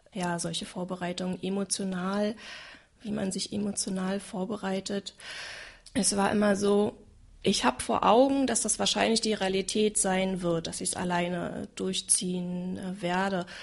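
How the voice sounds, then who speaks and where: A woman talks at a fairly slow pace, her pitch medium and her intonation fairly even. It is an unremarkable speaking voice. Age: 30s. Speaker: single mother sharing her experience. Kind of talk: personal testimony in a conversation.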